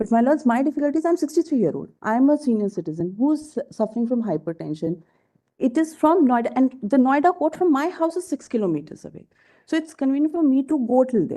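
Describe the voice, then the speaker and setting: Her voice dark and mellow yet high in pitch, a woman speaks at a very fast pace with very wide pitch swings. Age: 60s. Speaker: litigant arguing own case. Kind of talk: court hearing. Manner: formal.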